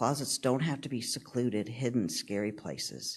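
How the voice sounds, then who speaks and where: Against a quiet background, a man with a plain, everyday voice talks at a moderate pace, his medium pitch carried by lively intonation. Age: 60s. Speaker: transgender church member giving homily. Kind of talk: sermon. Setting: church.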